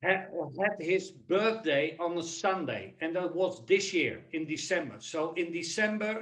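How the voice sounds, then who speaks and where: This man has a Dutch accent and a high pitch for a man. He talks at a fairly slow pace with ordinary pitch variation. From Netherlands. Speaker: human capital consultant and keynote speaker. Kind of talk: webinar presentation.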